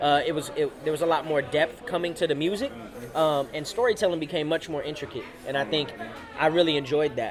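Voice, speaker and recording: Amid crowd noise and audible room echo, a man talks very fast at a fairly high pitch with ordinary pitch variation. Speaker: rapper. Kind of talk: interview. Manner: confident.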